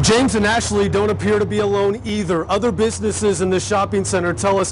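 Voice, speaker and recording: A man with an American accent speaks at a moderate pace. Noticeable background noise runs underneath. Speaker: TV news anchor and reporter. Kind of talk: field reporter package voiceover.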